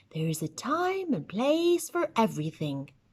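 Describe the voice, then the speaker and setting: Using a put-on character voice, a woman speaks at a fairly high pitch with very wide pitch swings and a gentle tone. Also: moderate pace. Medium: read story. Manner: patient, gentle.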